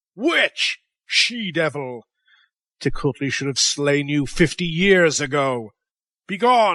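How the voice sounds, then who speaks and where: A man bellows in a put-on character voice, with lively intonation at a fairly slow pace. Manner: enraged, commanding.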